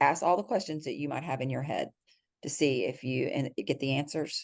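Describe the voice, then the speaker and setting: With a Texas accent, a woman speaks at a very deep, low pitch with ordinary pitch variation. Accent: soft Texas drawl. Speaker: criminal defense lawyer. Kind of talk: podcast interview answer. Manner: kind, friendly.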